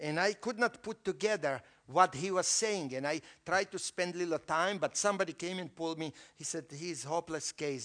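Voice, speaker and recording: In an ordinary speaking voice, a man with a fairly high pitch talks at a moderate pace with lively intonation, the sound dry and close with no echo against a quiet background. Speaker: visiting preacher. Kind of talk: sermon. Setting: church.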